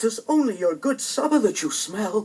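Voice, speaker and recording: Putting on a shaky character voice, a man speaks at a moderate pace in an extremely high pitch. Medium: read story. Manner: fearful, quavering.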